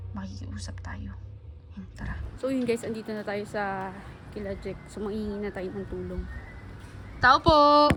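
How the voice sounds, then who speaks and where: The delivery has a moderate pace broken by long, frequent pauses. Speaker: vlogger. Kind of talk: vlog narration. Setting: indoors at home. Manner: soft-spoken.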